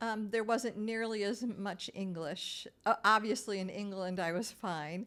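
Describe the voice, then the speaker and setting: A woman with a Great Lakes accent speaks at a medium pitch in a bright, sharp tone, fairly slowly and with hardly any pauses, her intonation fairly even, in a very clean recording with a silent background. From Minnesota, US. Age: 60s. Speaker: retired real estate agent and traveler. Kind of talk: interview storytelling.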